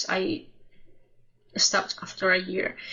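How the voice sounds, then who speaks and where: A woman speaks with a Spanish accent. Her pace is very slow. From Spain. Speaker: music reaction youtuber. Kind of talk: casual personal storytelling to camera. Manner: halting, self-correcting.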